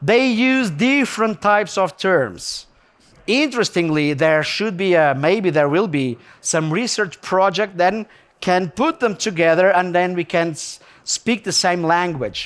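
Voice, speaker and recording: A man with a Portuguese accent speaks fairly slowly at a high pitch. His tone is animated and his intonation lively. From Portugal. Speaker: gemmologist lecturer. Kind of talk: lecture. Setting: stage with audience. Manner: animated, conversational.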